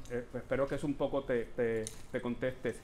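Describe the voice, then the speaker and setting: Audible room echo surrounds a man who speaks at a fairly slow pace and a medium pitch. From Puerto Rico. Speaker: performance artist and educator. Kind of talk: performative lecture with Q&A. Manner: hesitant, many fillers.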